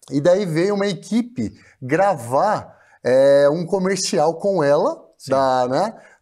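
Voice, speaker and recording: A man's high-pitched voice with a dark, mellow tone, lively intonation and a very slow pace, against a quiet background. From Brazil, Bauru (São Paulo state); São Paulo state, Brazil. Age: 40s. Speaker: TV presenter and journalist; interview guest, TV presenter. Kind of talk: interview storytelling. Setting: studio stage. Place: studio. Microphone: lapel.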